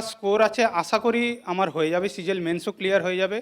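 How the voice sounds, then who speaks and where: A man's voice with fairly even intonation. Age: 30s. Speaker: retired army soldier, exam candidate. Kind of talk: testimonial interview.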